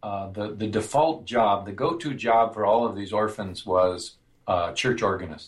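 In an American accent, a man with a plain, everyday voice talks at a fairly slow pace. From US Midwest, northern Minnesota. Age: 60s. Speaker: music theory professor. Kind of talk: interview.

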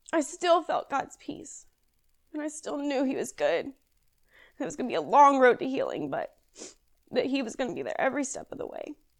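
A woman with an American accent speaks at a fairly quick pace, with long, frequent pauses and big swings in loudness. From Kentucky, near Louisville. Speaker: guest sharing personal faith story. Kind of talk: testimony.

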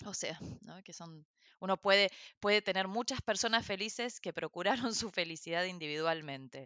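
Recorded dry and close with no echo against a quiet background, a woman with a bright, sharp tone speaks at medium pitch and a moderate pace, her loudness swinging widely while her pitch varies in an ordinary way. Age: 40s. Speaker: social entrepreneur and activist. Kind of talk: interview conversation. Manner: halting, many fillers.

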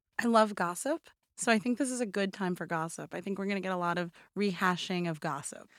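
On a very clean recording with a silent background, a woman speaks at a very fast pace, her pitch medium with ordinary variation. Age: 30s. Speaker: entertainment staff writer. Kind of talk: casual chat.

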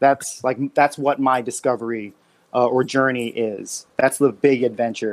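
A man talks in an ordinary speaking voice. His pitch is medium. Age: 30s. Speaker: clothing brand creator. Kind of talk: casual chat.

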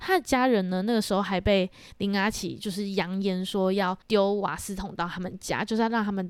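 In a very clean recording with a silent background, a woman with a normal speaking voice talks at a medium pitch and a moderate pace with ordinary pitch variation. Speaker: podcast co-host. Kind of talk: storytelling true crime chat.

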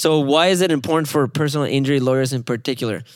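A man with a Spanish accent talks at a very fast pace and a fairly high pitch. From Mexico. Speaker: mobile billboard company founder. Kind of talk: casual interview conversation. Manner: friendly, upbeat, funny.

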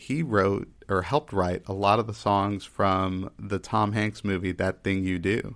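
An unremarkable speaking voice with an American accent moves at a fairly slow pace with fairly even intonation and hardly any pauses, on a very clean recording with a silent background. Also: man, fairly low pitch for a man. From Texas. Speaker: podcast host. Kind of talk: casual chat.

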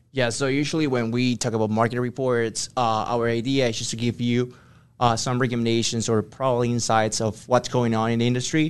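A man's medium-pitched, monotone voice with a Spanish accent, flat in intonation, at a fairly quick pace over a quiet background. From Ecuador. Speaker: business consultant. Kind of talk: interview. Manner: hesitant with fillers.

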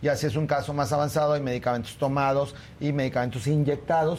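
At a very fast pace, a man talks with medium pitch and fairly even intonation. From Torreón, Mexico. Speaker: dermatologist. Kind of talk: tutorial.

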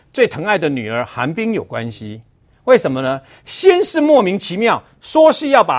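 This man's voice sits high. His pitch swings very widely. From Taiwan, Chiayi County (Xikou). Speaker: political commentator. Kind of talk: TV political talk show panel. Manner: animated.

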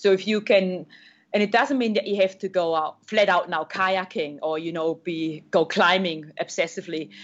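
Moderately paced speech from a woman with a German accent and ordinary pitch variation. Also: medium pitch for a woman. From Germany. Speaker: triathlete and adventure racer. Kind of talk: interview.

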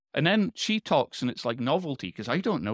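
Captured in a very clean recording with a silent background, a man's voice has a dry, close sound with no echo and very wide pitch swings. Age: 40s. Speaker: longevity and biomarker industry expert. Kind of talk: interview about personal story.

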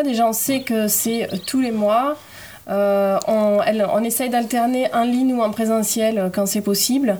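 Pitched fairly high with ordinary variation, a woman talks in a normal speaking voice. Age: 30s. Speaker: environmental association volunteer. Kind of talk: casual interview.

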